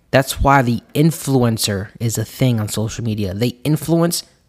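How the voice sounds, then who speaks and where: Recorded very cleanly against a silent background, a man with an ordinary speaking voice talks fairly slowly at a medium pitch with ordinary pitch variation. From US, Puerto Rican family. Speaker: financial coach podcast host. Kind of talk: solo podcast monologue.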